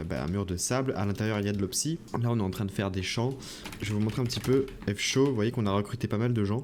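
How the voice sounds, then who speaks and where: Very fast speech from a man with a fairly low pitch and ordinary pitch variation, over noticeable background noise. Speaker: gaming youtuber. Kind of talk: gameplay commentary. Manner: hesitant with many fillers.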